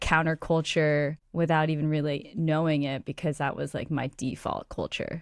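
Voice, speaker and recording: On a very clean recording with a silent background, a woman with a Californian accent and a very deep, low pitch talks at a moderate pace with fairly even intonation. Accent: Californian American English. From San Francisco, US West Coast. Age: 30s. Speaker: venture capitalist. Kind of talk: podcast interview.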